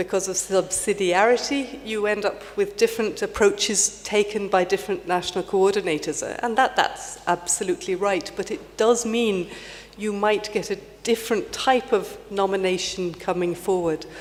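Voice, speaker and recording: The speaker has an Irish accent, and there is noticeable background noise. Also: woman, medium pitch for a woman, ordinary pitch variation, moderate pace. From Ireland. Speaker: heritage panel member. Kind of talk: panel discussion. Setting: conference stage with audience. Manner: halting.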